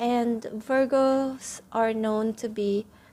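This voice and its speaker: A woman with a non-native accent and fairly even intonation. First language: not English. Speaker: tarot reader. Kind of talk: tarot reading monologue. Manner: hesitant, many fillers.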